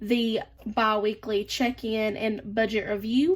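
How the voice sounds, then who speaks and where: Her voice is fairly high-pitched, in a Southern US accent. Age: 20s. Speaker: budgeting vlogger. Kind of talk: casual chat. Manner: chatty.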